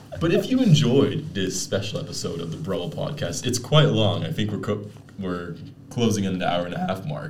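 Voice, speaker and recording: Over noticeable background noise and audible room echo, a man talks at a fairly quick pace with very wide pitch swings. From Netherlands and Canada. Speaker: podcast host. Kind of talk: casual chat.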